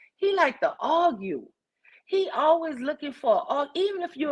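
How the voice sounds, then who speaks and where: A woman with a strong New Orleans accent talks at a moderate pace. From New Orleans, US South. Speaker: live stream host. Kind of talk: casual chat.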